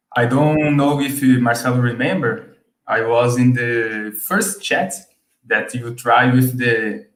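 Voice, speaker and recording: Speaking very slowly with a Brazilian Portuguese accent, a man uses a medium pitch and ordinary pitch variation. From Brazil, Sao Paulo. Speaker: subscriber guest. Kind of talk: casual chat. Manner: halting.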